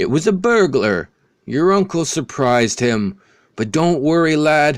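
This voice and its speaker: Using a put-on character voice, a man speaks at a fairly high pitch and moderate pace on a very clean recording with a silent background. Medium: read story. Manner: blunt, fatherly.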